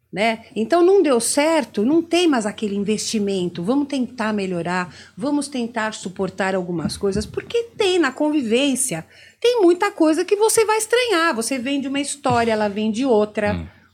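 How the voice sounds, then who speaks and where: A woman with a high pitch talks at a moderate pace, making very wide pitch swings. The recording is very clean with a silent background. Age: 60s. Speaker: therapist. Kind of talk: interview.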